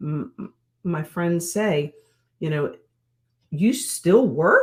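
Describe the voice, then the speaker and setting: The woman's voice is somewhat breathy and medium in pitch. She talks at a fairly slow pace with lively intonation. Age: 60s. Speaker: women's mentor. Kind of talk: interview.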